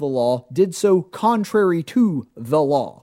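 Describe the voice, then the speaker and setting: A man speaks in a high pitch with a dark, mellow tone and very wide pitch swings. The recording is very clean, with a silent background. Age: 30s. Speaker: radio talk show host. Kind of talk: political commentary monologue.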